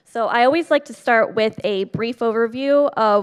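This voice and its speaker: A fairly slow pace with ordinary pitch variation. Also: woman. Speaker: state program coordinator. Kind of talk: conference presentation. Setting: stage with audience. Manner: animated.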